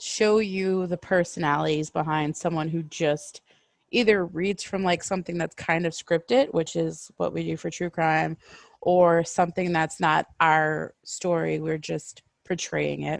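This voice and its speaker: Dry and close with no echo, a woman's fairly low, fairly slow delivery has fairly even intonation and an ordinary speaking voice, set against a quiet background. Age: 30s. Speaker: podcast co-host and story reader. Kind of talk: casual chat.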